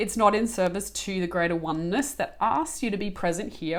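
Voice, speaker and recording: A woman talks with an Australian accent. Her pitch is medium. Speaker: spiritual channel and coach. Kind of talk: spiritual guidance talk.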